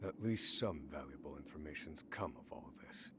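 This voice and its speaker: A man puts on a gruff character voice at a moderate pace. Clear background noise sits behind him. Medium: video game. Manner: measured, brooding.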